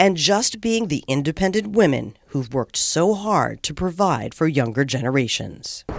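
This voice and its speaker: A woman's fairly low voice with vocal fry, very wide pitch swings, hardly any pauses and a moderate pace, on a very clean recording with a silent background. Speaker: news reporter. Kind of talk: news report narration.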